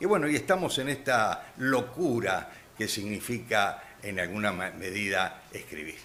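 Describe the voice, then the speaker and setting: A man with a medium-pitched voice and lively intonation speaks at a fairly slow pace, with audible room echo and noticeable background noise. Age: 80s+. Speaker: author, retired judge. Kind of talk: radio interview. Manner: halting, many fillers.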